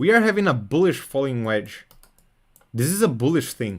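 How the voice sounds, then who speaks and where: A man with a Portuguese accent and very wide pitch swings. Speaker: crypto trading streamer. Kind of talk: live stream technical analysis and chat reading. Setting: live stream. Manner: casual, repetitive with fillers.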